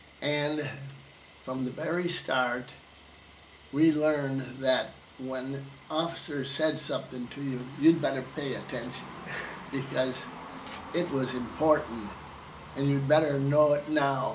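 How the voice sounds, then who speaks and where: A man speaks slowly-ish at a fairly high pitch, in a monotone, flat intonation. Noticeable background noise and audible room echo surround him. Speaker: war veteran. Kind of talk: oral history interview. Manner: halting.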